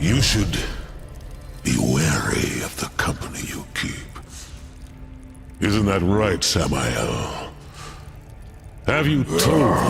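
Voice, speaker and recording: A man does a cartoonish character voice at a very deep, low pitch. He speaks at a very slow pace over clear background noise. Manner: menacing, gloating.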